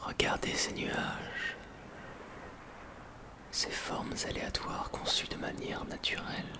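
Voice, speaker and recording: Whispering at a very slow pace, with long, frequent pauses and noticeable background noise. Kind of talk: ASMR roleplay, guided imaginary journey. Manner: whispered.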